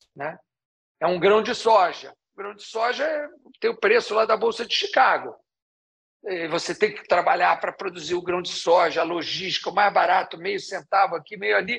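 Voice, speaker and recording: A man with a high pitch and ordinary pitch variation, at a moderate pace, with long, frequent pauses and big swings in loudness. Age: 60s. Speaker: ice cream business founder. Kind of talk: interview.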